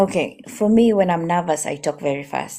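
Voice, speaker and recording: Here is a woman with a Kenyan accent. Her voice is fairly low in pitch, with a dark, mellow tone. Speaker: customer service agent. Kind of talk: advice in a live stream interview. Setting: live stream.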